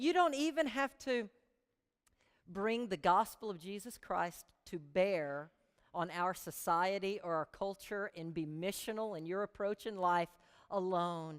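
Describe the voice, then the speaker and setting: A woman at a fairly slow pace, with lively intonation. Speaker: pastor. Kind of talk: sermon. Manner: animated.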